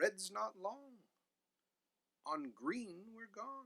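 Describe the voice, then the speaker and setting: A man puts on a character voice pitched high. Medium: read story.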